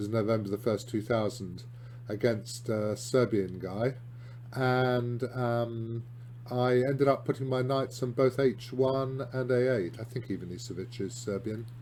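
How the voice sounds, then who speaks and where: A man speaks with a British accent in a dark, mellow tone, at medium pitch and a moderate pace. His voice is somewhat breathy, with fairly even intonation. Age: 60s. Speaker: chess columnist and grandmaster. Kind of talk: video lesson on chess games. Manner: hesitant, lots of ums and restarts.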